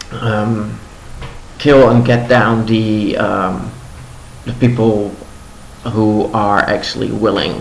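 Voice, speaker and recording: Over noticeable background noise, a man with a fairly low pitch speaks very slowly in a fairly even tone. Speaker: news commentator. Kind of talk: casual news commentary to camera. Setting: home living room.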